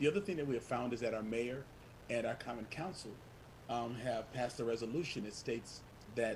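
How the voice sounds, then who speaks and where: A somewhat breathy male voice at a fairly quick pace. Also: medium pitch for a man, ordinary pitch variation. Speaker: community organizer. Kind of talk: panel presentation. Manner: fast.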